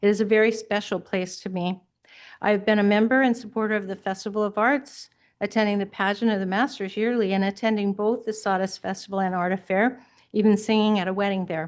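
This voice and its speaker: Against a quiet background, a woman talks fairly quickly at a medium pitch with flat, monotone intonation. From California. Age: 70s. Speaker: public commenter, retired teacher. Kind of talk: public comment at a hearing. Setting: public board meeting.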